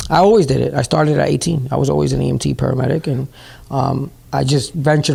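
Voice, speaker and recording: A man with a New York accent talks at a very fast pace. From New York City, Bronx. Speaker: CEO of a training school, paramedic. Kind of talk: interview. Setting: at his school building.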